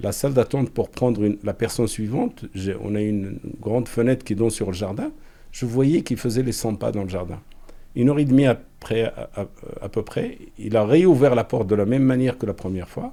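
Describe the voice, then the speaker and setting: A man's dark, mellow voice sits at medium pitch with ordinary pitch variation. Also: fairly quick pace. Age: 60s. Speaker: general practitioner, assault victim. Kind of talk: testimony. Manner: halting, repeats words.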